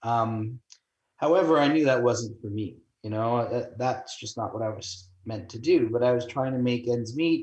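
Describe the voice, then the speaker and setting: A man with a Canadian accent, somewhat breathy, at a moderate pace with ordinary pitch variation. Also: medium pitch for a man. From Toronto, Canada. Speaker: real estate broker. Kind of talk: interview.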